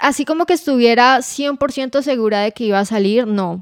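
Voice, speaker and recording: Here is a woman with a plain, everyday voice, speaking at a moderate pace with ordinary pitch variation. The recording is very clean, with a silent background and a dry, close sound with no echo. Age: 20s. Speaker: podcast co-host, finance professional. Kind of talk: casual chat.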